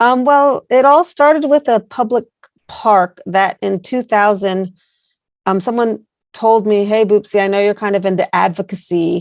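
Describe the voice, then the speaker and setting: The speaker has a normal speaking voice, moving at a moderate pace with ordinary pitch variation. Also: woman, medium pitch for a woman. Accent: American. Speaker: placemaking organization founder. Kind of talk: interview.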